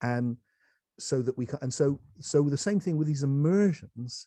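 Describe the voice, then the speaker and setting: A man's dark, mellow voice against a quiet background. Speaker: spiritual teacher. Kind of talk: casual chat. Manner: fast; animated.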